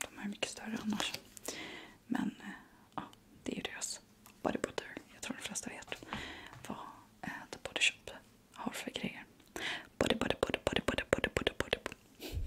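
Whispering in a relaxed tone, the speaker keeps a moderate pace broken by long, frequent pauses. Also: woman. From Sweden. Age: 30s. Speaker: ASMR creator. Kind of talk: ASMR unboxing talk to camera. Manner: soft-spoken, relaxed, intimate. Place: home room.

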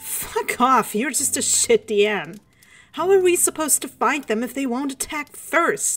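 A female-sounding, whiny put-on character voice with a high pitch for a woman and an angry, whiny tone. It moves at a moderate pace with faint music in the background. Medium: read story. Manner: angry, whiny, accusatory.

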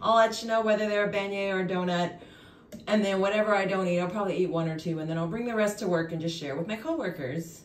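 A woman talks at a very fast pace and medium pitch with ordinary pitch variation. Audible room echo is present. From Louisiana. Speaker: lifestyle vlogger. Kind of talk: casual vlog narration. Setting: at home. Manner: conversational. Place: home room. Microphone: phone near.

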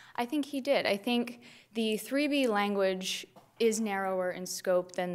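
Someone speaks at a fairly slow pace with ordinary pitch variation over light background noise. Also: woman. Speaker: prosecutor. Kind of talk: appellate oral argument. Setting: courtroom. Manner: formal. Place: hall. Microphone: podium.

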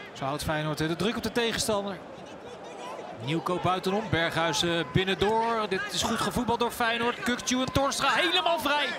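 With noticeable background noise behind him, a man uses a raised, projected voice that is high-pitched and swings very widely in pitch at a moderate pace. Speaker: football commentator. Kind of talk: live football commentary, match report.

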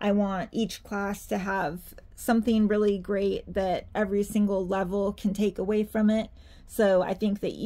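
In a dark, mellow tone, a woman talks with an American accent. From Santa Cruz, California. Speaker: doll artist, reborn doll maker and YouTuber. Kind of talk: casual Q&A video. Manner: filler-heavy, says 'like' and 'um' a lot.

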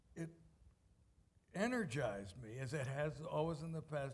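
This man's voice sits at a fairly high pitch with a slightly mellow tone. His intonation is lively.

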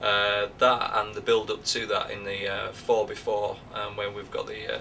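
Light background noise sits behind a man who speaks at a moderate pace with a Northern English accent. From Northern England. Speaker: actor. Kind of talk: interview answer. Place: home room. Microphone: camera far.

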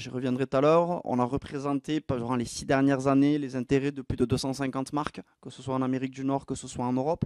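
A man's medium-pitched voice with a southwestern French accent, very fast with hardly any pauses and big swings in loudness, dry with no echo against a quiet background. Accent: sing-song southwestern French. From southwest France. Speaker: entrepreneur and conference speaker; presenter. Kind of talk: conference masterclass talk; conference talk. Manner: lively, with frequent filler 'euh'. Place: stage. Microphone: handheld.

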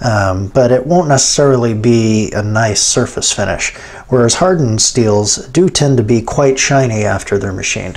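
Here a man speaks at a moderate pace, his pitch varying in an ordinary way. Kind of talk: tutorial. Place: workshop.

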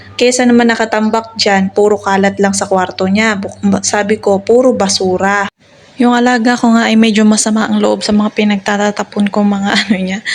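A woman speaks at a fairly quick pace in a medium pitch, her intonation flat and monotone, over noticeable background noise. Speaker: nanny vlogger. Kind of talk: vlog narration.

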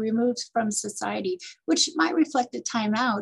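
Over a quiet background, a woman talks at a moderate pace in a somewhat breathy voice. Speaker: parenting coach and nonprofit director. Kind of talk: interview. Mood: warm, thoughtful. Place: office. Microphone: webcam.

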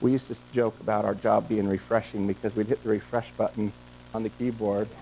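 Monotone, flat delivery in an American accent over light background noise. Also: man. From Montana. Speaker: entrepreneur, company co-founder; guest. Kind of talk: guest lecture to students. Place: classroom.

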